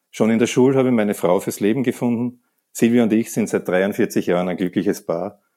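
In a Viennese accent, a man speaks at a fairly quick pace with a dark, mellow tone, fairly low pitch and ordinary pitch variation, in a very clean recording with a silent background. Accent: Viennese Austrian German. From Austria, Vienna. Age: 60s. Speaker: sports centre manager and masters hammer thrower. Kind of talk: interview. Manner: halting, repeats words.

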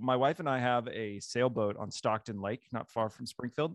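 A man with an American accent and an unremarkable speaking voice talks fairly quickly at medium pitch, with a quiet background and dry, close sound with no echo. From Missouri. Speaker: pastor and author. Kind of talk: interview conversation.

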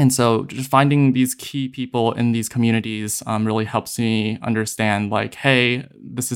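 A man speaks at medium pitch and a moderate pace in a monotone, flat intonation. The recording is very clean, with a silent background. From US, South Jersey (born in Hong Kong). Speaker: psychiatric nurse practitioner student. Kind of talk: interview conversation.

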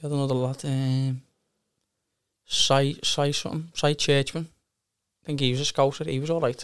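A man with a Liverpool accent talks at a moderate pace and fairly high pitch, with long, frequent pauses. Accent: Scouse (Liverpool). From Liverpool, England. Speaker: amateur footballer. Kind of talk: casual interview chat.

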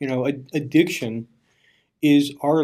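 Dark and mellow in tone, a man's fairly high voice holds a fairly even intonation in an American accent. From eastern Pennsylvania, Bethlehem. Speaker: recovery advocacy executive director. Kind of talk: casual interview. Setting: recording studio. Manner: halting, repeats words.

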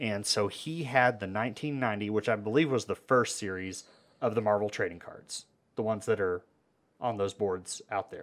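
Fairly low-pitched man with an American accent, a normal speaking voice, ordinary pitch variation, and a moderate pace. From Amarillo, Texas. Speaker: podcast host. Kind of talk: casual chat.

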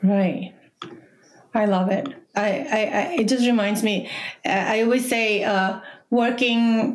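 With a Latin American accent, a woman speaks at a fairly high pitch with ordinary pitch variation. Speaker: podcast host and tech CEO. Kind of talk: interview.

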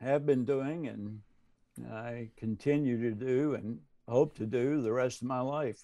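Speaking in a Southern US accent, a man goes at a very slow pace. His medium-pitched voice keeps a fairly even intonation. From US South. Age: 70s. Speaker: retired seminary professor and pastor. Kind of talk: casual interview.

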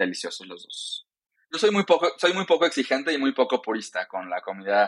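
The speaker talks fairly quickly with vocal fry. Loudness swings widely, and pitch swings are very wide. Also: man, fairly high pitch for a man, dry, close sound with no echo. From Mexico, Yucatán (Mérida). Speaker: diversity and inclusion consultant and activist. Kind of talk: interview.

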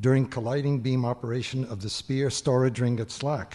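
A man speaks at a moderate pace with a medium pitch. His voice is somewhat breathy, with a dark, mellow tone. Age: old. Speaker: retired scientist introducing speaker. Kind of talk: introduction speech.

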